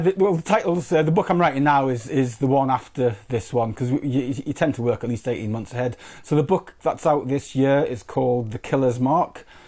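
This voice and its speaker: Delivered in a slight Newcastle accent, the dark, mellow voice moves at a moderate pace with lively intonation and hardly any pauses. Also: man, fairly high pitch for a man. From northeast England. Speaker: crime fiction author. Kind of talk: interview. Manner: halting, many repetitions.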